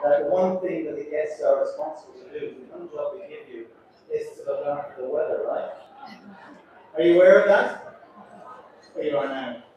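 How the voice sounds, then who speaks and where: A man's voice with audible room echo. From Ireland. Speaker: cruise ship captain. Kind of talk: onboard speech to passengers. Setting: ship deck event with audience. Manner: chatty and humorous.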